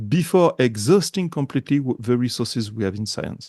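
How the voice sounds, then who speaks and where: With a strong French accent, a man talks at a moderate pace with lively intonation against a quiet background. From France. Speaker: journalist, editor. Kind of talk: interview. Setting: indoors in a thick-walled castle.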